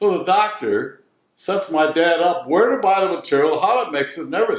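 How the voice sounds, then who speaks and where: Here a man is speaking. He talks with a Midwestern accent. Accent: American Midwest. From Detroit, Michigan. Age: 80s+. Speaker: retired bleach business owner. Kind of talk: interview answer.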